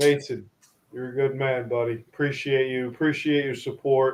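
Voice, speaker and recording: A medium-pitched man with an American accent, flat monotone intonation, and a moderate pace. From New York. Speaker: hockey show host. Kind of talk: casual chat.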